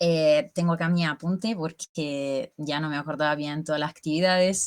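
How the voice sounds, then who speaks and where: At a moderate pace, a woman talks with very deep, low pitch and ordinary pitch variation. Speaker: bioconstruction guild member presenting a seminar summary. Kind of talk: online talk to colleagues, casual presentation.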